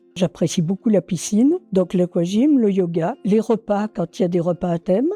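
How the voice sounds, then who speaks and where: Music plays behind a woman speaking at a moderate pace. Her medium-pitched voice has ordinary pitch variation and a dry, close sound with no echo. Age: 80s+. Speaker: retirement home resident. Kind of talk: testimonial interview. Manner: hesitant, with fillers.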